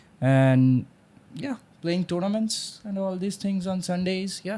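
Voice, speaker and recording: A man with a high pitch and very wide pitch swings, at a moderate pace, with a Bengali accent. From India, Assam. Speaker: engineer. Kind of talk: casual chat.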